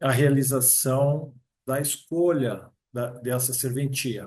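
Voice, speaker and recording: A man's somewhat breathy voice at a fairly high pitch, very slow and monotone with flat intonation. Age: 60s. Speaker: approved public exam candidate, future notary registrar. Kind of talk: interview.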